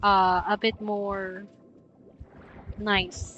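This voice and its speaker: A woman with a Filipino accent speaks at a medium pitch with monotone, flat intonation. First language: Tagalog. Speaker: streamer. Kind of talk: casual live-stream chat. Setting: live stream.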